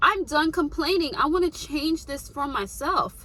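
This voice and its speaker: Raising and projecting her high voice, a woman speaks in an animated tone at a fairly slow pace over noticeable background noise. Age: 20s. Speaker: lifestyle vlogger. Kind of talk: motivational talk.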